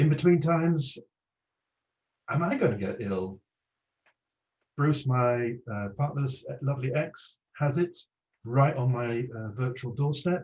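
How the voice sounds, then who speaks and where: Long, frequent pauses from a somewhat breathy man at a medium pitch. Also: ordinary pitch variation, fairly slow pace. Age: 60s. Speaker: psychotherapist giving a talk. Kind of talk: online presentation.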